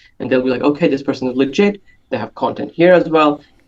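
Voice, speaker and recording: The pace of the speech is fairly quick. A non-native accent is audible. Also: man. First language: not English. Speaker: conversion and analytics expert. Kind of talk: podcast interview. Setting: video call.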